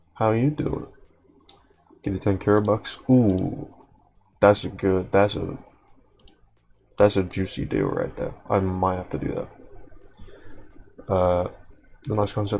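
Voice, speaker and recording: The pace is fairly slow, with long, frequent pauses. Background noise is noticeable. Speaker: streamer drawing live. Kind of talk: casual live stream chat. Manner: casual, rambling with filler.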